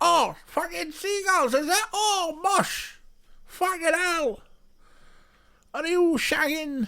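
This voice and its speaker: An extremely high-pitched put-on character voice moves at a very slow pace. Long, frequent pauses break it up. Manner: crude, casual banter.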